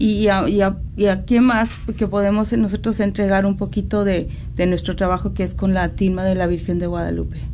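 A woman speaks at a moderate pace with fairly even intonation, in a space with audible room echo and noticeable background noise. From Mexico, San Luis Potosí. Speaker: maker of religious images. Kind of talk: radio interview. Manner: halting.

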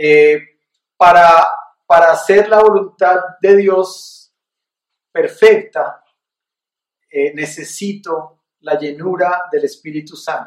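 Very slow pace, fairly even intonation and long, frequent pauses. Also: man, high pitch for a man. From Colombia, Bogotá. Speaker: pastor leading a Bible study. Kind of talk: sermon; casual Q&A with participants.

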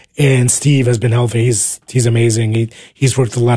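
In an American accent, a man with a medium pitch and a dark, mellow tone speaks at a fairly quick pace, somewhat breathy and in a monotone, flat intonation. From New Jersey. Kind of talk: radio interview. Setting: radio studio.

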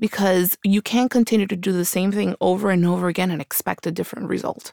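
A woman with an American accent speaks at a very fast pace and medium pitch, with fairly even intonation and a dry, close sound with no echo. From Colombia until age nine, then New York (Queens). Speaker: political candidate and lawyer. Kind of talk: interview.

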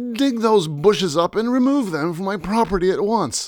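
Putting on a character voice, a man speaks at a moderate pace with a high pitch and lively intonation. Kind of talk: posh, haughty.

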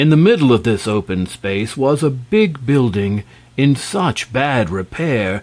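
The voice is plain reading aloud with lively intonation.

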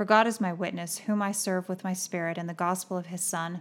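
At a fairly quick pace and a medium pitch, a woman talks in an unremarkable speaking voice with fairly even intonation, recorded very cleanly against a silent background. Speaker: podcast co-host. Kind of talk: casual devotional Bible discussion.

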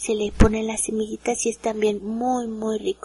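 With a Mexican accent, a woman talks in a fairly high, somewhat breathy voice with monotone, flat intonation, recorded dry and close with no echo. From Mexico. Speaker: home cook. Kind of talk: casual chat.

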